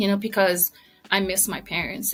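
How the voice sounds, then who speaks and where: In a Samoan accent, a woman speaks at a medium pitch with a bright, sharp tone. Her intonation stays monotone and flat. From American Samoa. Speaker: retired army veteran and author. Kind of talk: interview.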